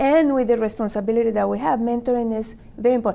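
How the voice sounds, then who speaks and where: On a very clean recording with a silent background, a woman speaks in a fairly high pitch with a dark, mellow tone and ordinary pitch variation. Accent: Spanish. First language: Spanish. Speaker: media executive. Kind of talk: panel discussion. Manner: halting.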